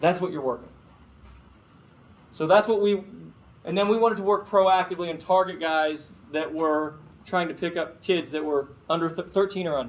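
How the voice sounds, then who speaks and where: A high-pitched man with an American accent, with audible room echo. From Chicago. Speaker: FBI agent. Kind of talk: guest lecture. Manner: fast; casual.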